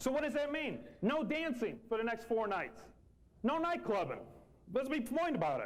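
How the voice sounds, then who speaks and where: With audible room echo, a man speaks animatedly at an extremely high pitch and a fairly quick pace, with ordinary pitch variation. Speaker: company manager. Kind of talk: motivational speech. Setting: meeting room with audience. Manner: fast.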